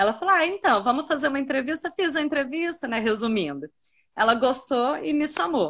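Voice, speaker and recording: Her pitch swinging very widely, a woman speaks at a fairly quick clip. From Minas Gerais, Brazil (Uberaba). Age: 30s. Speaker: tourism professional and park guide. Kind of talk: casual interview. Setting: online live stream.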